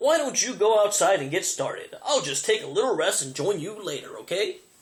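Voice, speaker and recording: Putting on a gruff character voice, a man speaks at a high pitch and a fairly quick pace. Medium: read story. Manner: gruff, grumbling.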